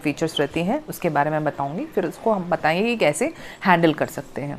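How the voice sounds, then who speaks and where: A moderately paced woman's voice, fairly low in pitch. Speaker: spiritual healer and coach. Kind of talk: talk to camera, self-help explainer. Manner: frequent fillers and hesitations.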